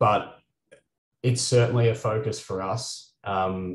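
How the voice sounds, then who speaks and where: A man speaks with a somewhat breathy voice, an Australian accent and fairly even intonation. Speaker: company CEO and moderator. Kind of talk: webinar panel moderation. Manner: frequent filler words (uh, um).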